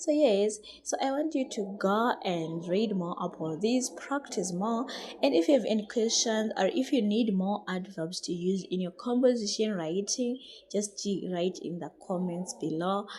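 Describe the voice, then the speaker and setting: Her intonation is lively. The woman is heard over noticeable background noise. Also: medium pitch for a woman, moderate pace. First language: not English. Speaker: English teacher. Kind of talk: tutorial. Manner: halting.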